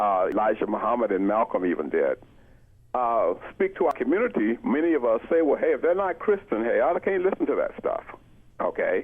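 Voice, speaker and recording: Speaking at a fairly quick pace, a man talks in an American accent. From Florida. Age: 60s. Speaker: economics professor. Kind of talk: radio interview.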